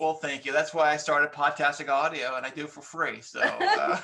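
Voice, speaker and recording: A man's fairly high, monotone, flat voice at a fairly quick pace, with big swings in loudness and noticeable background noise. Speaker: podcaster.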